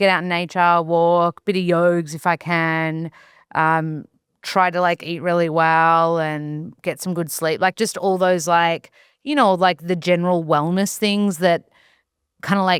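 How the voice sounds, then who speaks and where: A woman with an Australian accent speaks at a fairly slow pace and a fairly low pitch. The recording is very clean and dry, with a close sound, no echo and a silent background. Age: 30s. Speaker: nutritionist and actor. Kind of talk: casual chat. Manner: animated.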